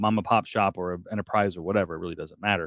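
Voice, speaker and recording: A man speaks at a fairly low pitch. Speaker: cybersecurity company executive and co-founder. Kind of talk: webinar presentation. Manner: fast; animated.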